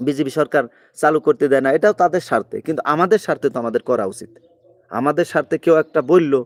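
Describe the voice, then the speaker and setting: A man with a fairly high pitch and ordinary pitch variation, a normal speaking voice, in a dry, close sound with no echo. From Bangladesh, Magura. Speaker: migrant worker vlogger, political commentator. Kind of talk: live-stream political commentary. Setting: live stream from abroad.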